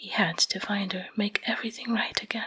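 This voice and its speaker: A woman is whispering. She is soft-spoken. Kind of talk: ASMR sleep story roleplay. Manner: whispered, soft-spoken.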